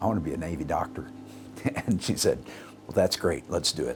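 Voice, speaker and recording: A man speaks at a moderate pace with a very deep, low pitch. Music plays in the background. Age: 60s. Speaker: doctor. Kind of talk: interview. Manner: halting.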